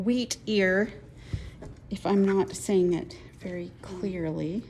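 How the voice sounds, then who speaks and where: A woman speaks at a very slow pace in a Utah accent. Her pitch sits in the medium range and varies in an ordinary way. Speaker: quilting teacher. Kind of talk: tutorial.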